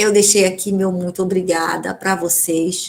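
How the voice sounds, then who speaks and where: A woman at a moderate pace. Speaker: law professor. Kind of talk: casual chat; lecture. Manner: animated.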